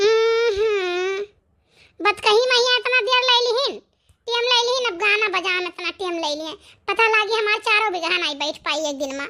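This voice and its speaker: A woman's cartoonish character voice at an extremely high pitch, with lively intonation and a moderate pace. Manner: brisk, scolding.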